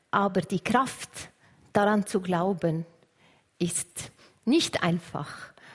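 Somewhat breathy, a woman talks very slowly at medium pitch with ordinary pitch variation. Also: long, frequent pauses, very even loudness. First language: Arabic (speaking German). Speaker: churchgoer sharing her story. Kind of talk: testimony. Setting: church service with congregation.

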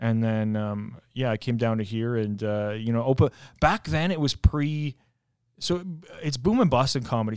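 A man with an unremarkable speaking voice, medium pitch and ordinary pitch variation, on a very clean recording with a silent background. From Canada. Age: 30s. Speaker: stand-up comedian. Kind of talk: casual chat.

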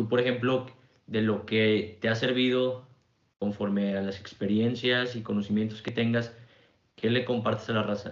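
Amid audible room echo, a man with a Mexican accent speaks at a medium pitch and a moderate pace, his intonation flat and monotone. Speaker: podcast host. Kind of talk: casual interview.

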